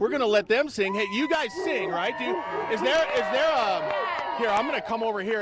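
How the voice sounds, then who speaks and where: Over loud background noise, a man talks at a fairly quick pace in a dry recording with no echo. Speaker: TV news reporter. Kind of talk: live news report. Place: street. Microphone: handheld.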